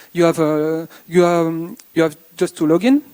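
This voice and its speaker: With a French accent, a man talks in a dark, mellow tone, the sound dry and close with no echo. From France. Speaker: conference speaker. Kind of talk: conference talk. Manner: halting.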